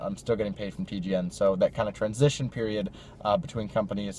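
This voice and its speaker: Somewhat breathy, a man talks at a fairly quick pace on a dry recording with no echo and light background noise. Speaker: gaming YouTuber. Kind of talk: casual vlog chat. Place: car. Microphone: phone near.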